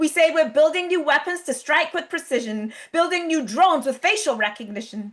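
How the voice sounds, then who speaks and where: A woman speaks at an extremely high pitch with lively intonation. Her fairly quick pace comes through noticeable background noise. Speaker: spoken word poet. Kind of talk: spoken word poetry performance. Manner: rhythmic, rhyming delivery.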